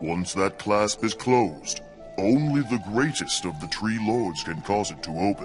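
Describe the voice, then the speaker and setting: Over clear background music, a man uses a put-on character voice with a fairly low pitch at a moderate pace. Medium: machinima. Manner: formal, stately.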